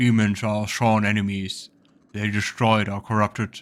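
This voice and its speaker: On a very clean recording with a silent background, a man uses a put-on character voice that is rumbling and fairly low, delivered at a moderate pace with monotone, flat intonation. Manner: ancient, solemn.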